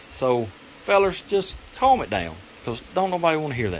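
Against light background noise, a man talks at a moderate pace, his pitch swinging very widely. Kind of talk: casual workshop vlog chat. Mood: mildly annoyed, joking. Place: workshop. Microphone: camera far.

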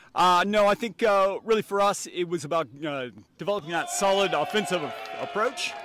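A man's voice, dry with no echo, amid noticeable background noise. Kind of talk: interview answer. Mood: relaxed, joking. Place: stadium. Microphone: handheld.

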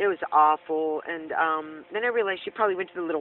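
A woman talks at a fairly quick pace in an ordinary speaking voice, the sound dry with no echo and only light background noise. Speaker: van dweller vlogger. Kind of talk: casual vlog chat. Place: car. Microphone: phone near.

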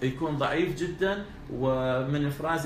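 A man's fairly high voice with ordinary pitch variation, audible room echo and light background noise. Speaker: doctor (male infertility specialist). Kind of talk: interview about medical topics. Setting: clinic or hospital. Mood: calm explanatory. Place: office.

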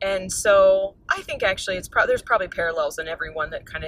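A woman speaks in a dry recording with no echo at all. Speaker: interview guest. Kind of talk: interview answer. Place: car. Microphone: phone near.

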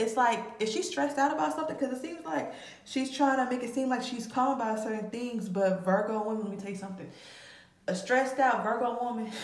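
A woman speaks in a high pitch. Audible room echo surrounds her voice. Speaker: tarot reader. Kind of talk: casual tarot reading commentary. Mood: casual, amused. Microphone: phone near.

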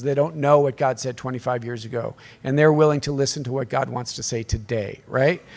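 Here is a man with an American accent. His voice sits fairly high, with ordinary pitch variation. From US, southwest Colorado. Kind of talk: workshop talk. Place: hall. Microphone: podium.

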